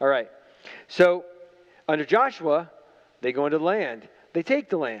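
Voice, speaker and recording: With an American accent, a man speaks at a moderate pace with lively intonation. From Ohio, US Midwest. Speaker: pastor. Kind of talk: sermon. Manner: casual, conversational with fillers.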